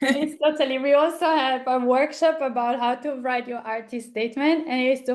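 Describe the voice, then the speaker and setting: The speaker talks with an Italian accent. The intonation stays fairly even. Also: woman. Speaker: arts foundation co-founder. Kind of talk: online seminar discussion.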